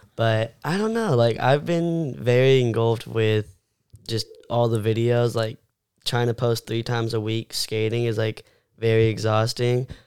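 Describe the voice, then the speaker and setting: An ordinary speaking voice with an American accent. The intonation stays fairly even. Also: man, medium pitch for a man, moderate pace. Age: 18. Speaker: content creator and skateboarder. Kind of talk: casual chat.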